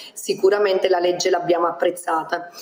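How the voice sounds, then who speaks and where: A woman speaks fairly fast with noticeable noise in the background. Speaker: regional councillor. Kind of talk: political interview. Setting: video call. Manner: formal.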